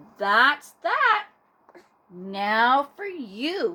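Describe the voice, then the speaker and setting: A woman's put-on character voice, high-pitched, with very wide pitch swings. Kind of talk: bedtime story. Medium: read story. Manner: warm, gentle.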